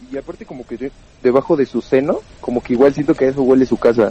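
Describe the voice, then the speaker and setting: Over noticeable background noise, a man talks at a fairly quick pace and fairly high pitch, the sound dry and close with no echo. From Pachuca, Mexico. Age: 20s. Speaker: stand-up comedian. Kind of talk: casual chat.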